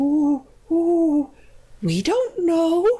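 This is a put-on character voice with an extremely high pitch. Its tone is timid.

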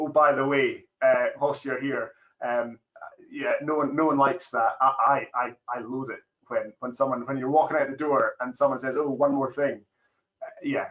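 In a Scottish accent, a man with a fairly high pitch speaks at a moderate pace with monotone, flat intonation over a quiet background. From Scotland. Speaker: farmer. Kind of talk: webinar panel discussion. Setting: online webinar. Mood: relaxed, friendly. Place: office. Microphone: video call.

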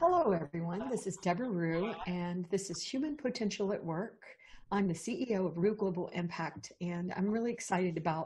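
A woman talks at a moderate pace, her voice somewhat breathy. Her pitch varies in an ordinary way, with light background noise behind her. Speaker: podcast host. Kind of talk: show introduction. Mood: warm, enthusiastic. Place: home room. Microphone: earbuds.

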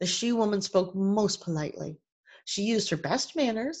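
Over a quiet background, reading aloud in a natural voice shows ordinary pitch variation.

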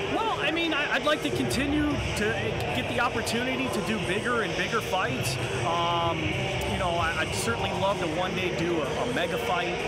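A man talks at a fairly quick pace. Loud background noise fills the recording. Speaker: ring announcer. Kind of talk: interview answer. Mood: grateful, warm. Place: stadium.

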